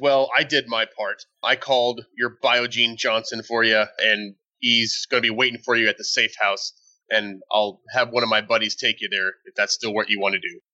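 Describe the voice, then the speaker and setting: A man's gruff, put-on character voice at medium pitch and a moderate pace. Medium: actual play. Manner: gruff, blunt.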